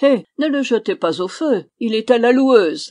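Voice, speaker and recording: A man puts on a character voice at an extremely high pitch. He keeps a moderate pace with lively intonation. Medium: read story. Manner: affected, prim.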